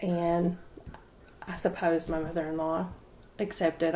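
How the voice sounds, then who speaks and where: A woman speaks with an Appalachian accent. Her fairly low voice has monotone, flat intonation. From East Tennessee. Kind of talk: interview answer.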